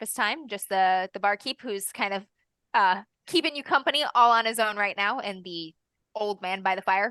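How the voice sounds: The reading voice sounds natural, its intonation fairly even. Nothing much is heard behind it.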